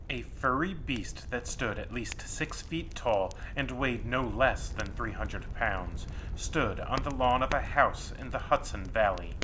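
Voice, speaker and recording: Noticeable background noise sits behind a voice that moves at a fairly slow pace. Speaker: horror story author. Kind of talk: horror story narration.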